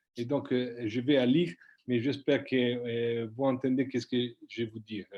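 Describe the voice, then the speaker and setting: A man speaks with an Italian accent at a medium pitch. His pace is moderate and his intonation fairly even. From Italy, Tuscany. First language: Italian (speaking French). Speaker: politician. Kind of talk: prepared speech read aloud. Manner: halting.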